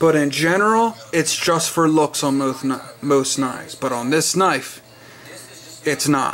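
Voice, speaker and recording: Over noticeable background noise, a man speaks in an enthusiastic tone at a fairly slow pace. His pitch is fairly high, with ordinary variation. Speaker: knife collector video reviewer. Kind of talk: casual product showcase. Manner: casual, enthusiastic.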